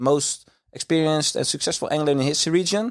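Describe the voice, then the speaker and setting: Here is a man with a Dutch accent. He has a fairly high pitch, ordinary pitch variation, and a moderate pace. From Netherlands, countryside. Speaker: carp angler. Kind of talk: casual interview chat.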